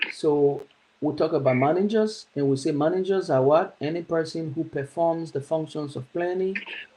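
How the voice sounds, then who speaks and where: Here is a man with a plain, everyday voice. He has a fairly high pitch, fairly even intonation and a moderate pace. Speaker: teacher. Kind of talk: lecture.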